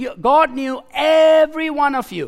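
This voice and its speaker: Speaking at a very slow pace, a man with a Nepali accent uses an extremely high pitch. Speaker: preacher. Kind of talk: sermon. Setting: church.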